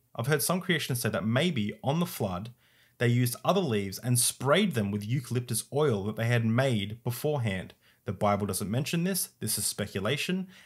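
A man with an Australian accent speaks at a medium pitch and moderate pace, with lively intonation and a somewhat breathy sound. The background is quiet. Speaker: YouTuber discussing religion and science. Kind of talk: video essay / commentary; interview question. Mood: calm, explanatory. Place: home room.

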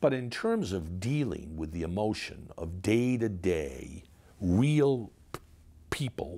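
A man's pitch swings very widely as he talks at a very slow pace. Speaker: interview guest. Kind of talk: interview answer. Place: home room.

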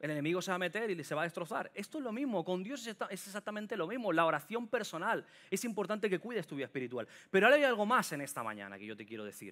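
The speech moves at a very fast pace, with very wide pitch swings and big swings in loudness. The tone is bright and sharp, against a quiet background. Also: man, high pitch for a man. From Catalonia, Sant Boi de Llobregat (Barcelona area); Catalonia. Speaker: preacher. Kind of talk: sermon. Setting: church with congregation. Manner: animated. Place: church. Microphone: headset.

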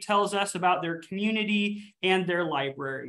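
The speaker talks at a moderate pace against a quiet background. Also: man. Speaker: library event host. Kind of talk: webinar host introduction. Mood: cheerful, welcoming. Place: office. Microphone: video call.

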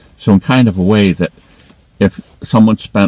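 At a moderate pace, a man speaks with fairly even intonation in a dry sound with no echo. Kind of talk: casual vlog chat. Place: car.

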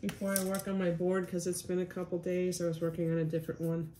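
A woman's fairly low-pitched voice at a very fast pace, with very even loudness over noticeable background noise. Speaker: icon painter teaching. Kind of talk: tutorial. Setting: home video recording. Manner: casual, filler-heavy, friendly.

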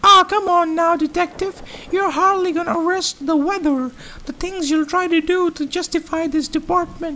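In a put-on character voice, the speaker sounds squeaky at an extremely high pitch, moving at a moderate pace over clear background noise. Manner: smug, condescending.

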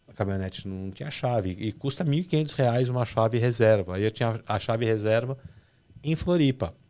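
Dark and mellow in tone, a man talks at a moderate pace. His intonation is lively. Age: 40s. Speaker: fishing captain; podcast guest. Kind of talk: casual chat. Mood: relaxed, chatty. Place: studio. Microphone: studio mic.

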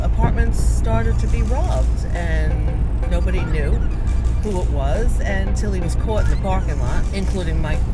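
A woman at a moderate pace, dry sound with no echo, music playing in the background. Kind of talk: casual storytelling chat. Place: car. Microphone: camera far.

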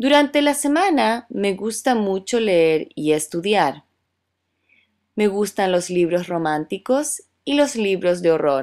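Very slowly, a woman speaks at medium pitch with very wide pitch swings, in a very clean recording with a silent background. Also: very even loudness. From Chile. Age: 30s. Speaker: Spanish teacher. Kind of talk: scripted monologue for language learners. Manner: slow, clear.

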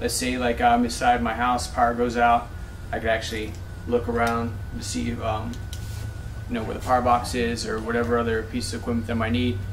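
Over light background noise, a man talks at a fairly quick pace with ordinary pitch variation. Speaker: firearms instructor trainee. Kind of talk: practice presentation. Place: classroom. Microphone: camera far.

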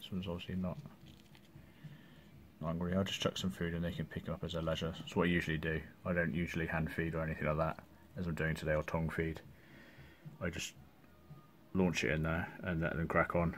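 Very deep and low, a man's voice races at a very fast pace. His intonation is monotone and flat, with light background noise behind him. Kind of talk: casual vlog chat. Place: home room. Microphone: phone near.

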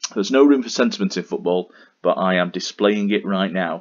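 The man speaks at a fairly quick pace. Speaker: Football Manager let's-play YouTuber. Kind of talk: gaming commentary, recap and live match commentary.

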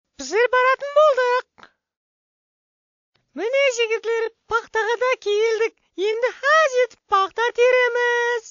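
In a put-on character voice, the speaker uses an extremely high pitch at a fairly slow pace, with long, frequent pauses. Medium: fan dub. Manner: upbeat, persuasive.

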